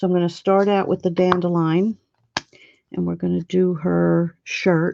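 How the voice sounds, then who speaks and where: A woman speaks quietly at a fairly slow pace. The sound is dry and close, with no echo. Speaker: coloring video creator. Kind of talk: tutorial.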